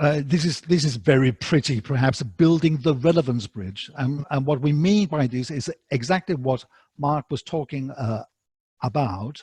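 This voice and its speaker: Somewhat breathy with a dark, mellow tone, a man speaks at a moderate pace and fairly high pitch with ordinary pitch variation, in a dry, close sound with no echo. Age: 60s. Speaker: academic writing instructor. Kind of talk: lecture. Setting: online webinar. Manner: halting, many fillers.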